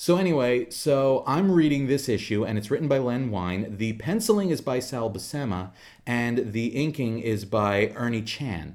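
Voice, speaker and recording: Lively intonation and hardly any pauses mark this man's unremarkable speaking voice at medium pitch. He keeps a moderate pace on a very clean recording with a silent background. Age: 40s. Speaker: comics podcast co-host. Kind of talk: casual chat.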